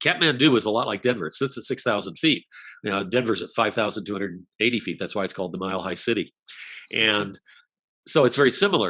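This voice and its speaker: Very fast speech from a man with an American accent, fairly low in pitch, bright and sharp in tone, with ordinary pitch variation and a quiet background. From Colorado. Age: 70s. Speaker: author and speaker. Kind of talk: interview.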